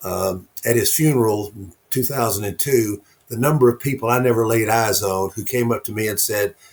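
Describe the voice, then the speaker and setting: A man talks at a medium pitch and moderate pace, his voice somewhat breathy and his pitch variation ordinary. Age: 70s. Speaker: author and networking speaker. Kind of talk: interview conversation.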